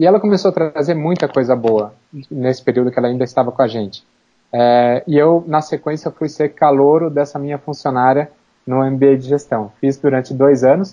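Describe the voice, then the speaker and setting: A man's voice sits fairly high in pitch, with ordinary pitch variation and a moderate pace. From Brazil, Campinas (São Paulo state). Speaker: plastic surgeon and clinic owner. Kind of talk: interview conversation. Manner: halting, many repetitions.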